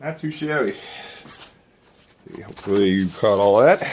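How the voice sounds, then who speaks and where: A man speaks at a fairly slow pace and a fairly high pitch, leaving long, frequent pauses. Background noise is noticeable. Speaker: DIY mechanic. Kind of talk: tutorial. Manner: casual.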